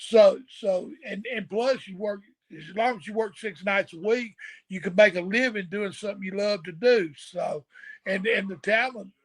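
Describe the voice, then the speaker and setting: The speaker has a Southern US accent and a moderate pace. Pitch varies in an ordinary way, while loudness swings widely. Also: man, high pitch for a man. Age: 60s. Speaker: retired pro wrestler. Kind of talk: casual chat.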